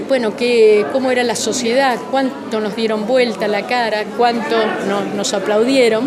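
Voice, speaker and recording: Crowd noise fills the background and room echo is audible. A woman speaks at a fairly high pitch and a moderate pace, with ordinary pitch variation. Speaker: human rights survivor and author. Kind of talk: interview.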